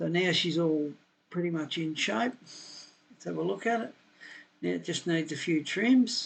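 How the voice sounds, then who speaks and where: Speaking with an Australian accent, a man uses a high pitch with very wide swings. He goes at a fairly slow pace against a quiet background. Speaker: software tutorial maker, building designer. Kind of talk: screen-recorded software tutorial. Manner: casual, thinking aloud.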